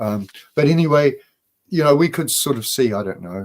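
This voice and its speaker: Here is a man with a New Zealand accent. He talks at a moderate pace. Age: 60s. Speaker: spiritual author. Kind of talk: casual chat.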